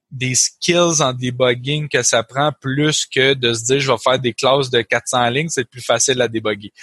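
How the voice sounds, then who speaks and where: A man's medium-pitched voice at a fairly slow pace with ordinary pitch variation, dry and close with no echo over a quiet background. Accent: Quebec. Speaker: co-host, programmer. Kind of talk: casual technical discussion.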